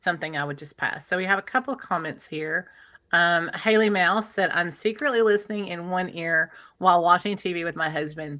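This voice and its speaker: Against a quiet background, a woman with a Middle Tennessee accent talks at a fairly quick pace in a bright, sharp tone. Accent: Southern US (Middle Tennessee), fairly strong. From Middle Tennessee, US South. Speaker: livestream host. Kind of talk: casual live stream chat.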